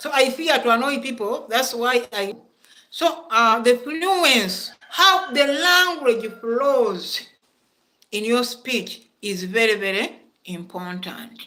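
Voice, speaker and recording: A woman with a Ugandan accent speaks very slowly in a high voice, her pitch swinging very widely and her loudness rising and falling sharply, with long, frequent pauses. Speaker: school principal and English lecturer. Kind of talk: lecture. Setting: classroom, also streamed online.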